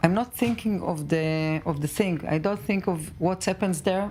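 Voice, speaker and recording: A woman speaks with an Israeli accent. Her pace is moderate. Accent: Israeli Hebrew. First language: Hebrew. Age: 50s. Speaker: mother of a hostage. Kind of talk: tv news interview. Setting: tv studio. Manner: halting.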